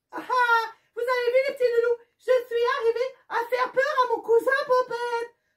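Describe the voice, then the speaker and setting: This cartoonish character voice sits at an extremely high pitch, with monotone, flat intonation and a moderate pace. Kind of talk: children's puppet show. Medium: puppet.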